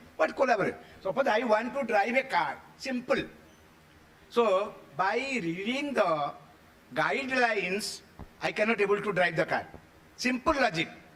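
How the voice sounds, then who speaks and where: Against noticeable background noise, a man with a high voice and lively intonation speaks at a moderate pace with long, frequent pauses. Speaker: education lecturer. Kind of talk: seminar lecture.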